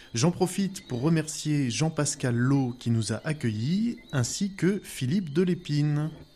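A man with a fairly high pitch speaks at a fairly slow pace with lively intonation. His tone is dark and mellow, and somewhat breathy. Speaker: radio host. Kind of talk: scripted radio presenting.

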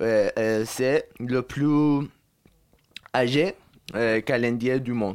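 A man speaks very slowly with a Persian accent, at medium pitch and with fairly even intonation. Long, frequent pauses break up his speech. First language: Persian (speaking French). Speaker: student. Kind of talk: casual interview. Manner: halting.

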